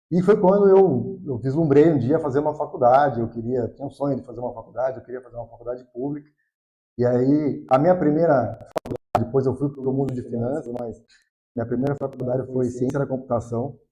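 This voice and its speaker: At a fairly quick pace, a man talks in a medium pitch with a dark, mellow, somewhat breathy tone, ordinary pitch variation and big swings in loudness. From Brazil, Piracicaba (São Paulo state interior). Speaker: economist, financial consultant. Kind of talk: podcast interview.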